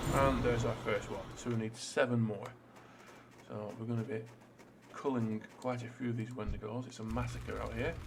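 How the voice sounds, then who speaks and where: Amid noticeable background noise and audible room echo, a man talks at a moderate pace in a medium pitch with monotone, flat intonation. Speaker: gaming YouTuber. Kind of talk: let's play commentary. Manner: casual with many fillers.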